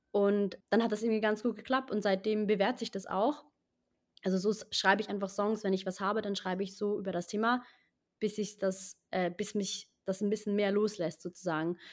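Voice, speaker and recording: On a very clean recording with a silent background, a woman with an ordinary speaking voice talks at a moderate pace, medium in pitch, with fairly even intonation. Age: 20s. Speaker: actress and singer-songwriter. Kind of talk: interview.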